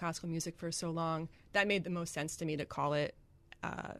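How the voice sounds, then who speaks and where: Against a quiet background, a woman with an American accent talks in a fairly low pitch with fairly even intonation. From Greenwich, Connecticut, US. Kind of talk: radio interview. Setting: radio studio. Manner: hesitant, many fillers.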